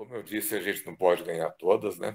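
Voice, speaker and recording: This man speaks at a fairly low pitch. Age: 60s. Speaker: physician. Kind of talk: testimony.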